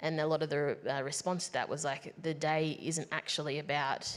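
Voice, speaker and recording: With an Australian accent, a woman talks in a very deep, low pitch and fairly even intonation. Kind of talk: panel discussion.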